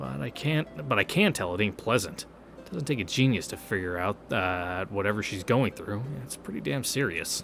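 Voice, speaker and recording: Music plays in the background. The voice moves at a fairly quick pace with very wide pitch swings. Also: man. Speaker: gaming YouTuber reading a visual novel. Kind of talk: game read-through with commentary. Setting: home recording with headset. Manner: casual, halting.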